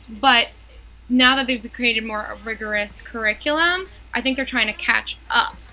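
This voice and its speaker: A woman with an American accent talks at a moderate pace in a high voice with a bright, sharp tone. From New York. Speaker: math teacher and podcast co-host. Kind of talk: casual chat.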